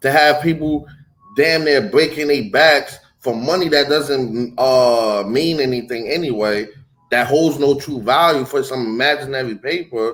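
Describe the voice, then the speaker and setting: Music plays in the background as a man speaks. His fairly high voice has ordinary pitch variation and a fairly slow pace. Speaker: religious teacher. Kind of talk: religious teaching.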